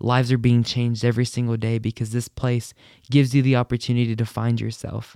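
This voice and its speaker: A man's medium-pitched voice at a fairly quick pace, dry and close with no echo, in a very clean recording with a silent background. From New Mexico, Hobbs. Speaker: student leader. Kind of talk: interview.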